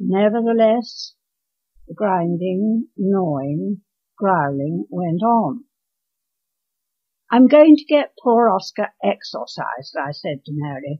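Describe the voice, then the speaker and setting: Speaking very slowly with long, frequent pauses, a woman at a medium pitch swings her pitch very widely. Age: 80s+. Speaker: author reading own story. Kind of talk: story reading.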